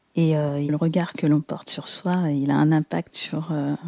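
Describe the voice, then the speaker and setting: A woman's very deep, low voice has a dark, mellow tone and a monotone, flat delivery, recorded dry and close with no echo. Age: 40s. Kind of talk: testimony. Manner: halting.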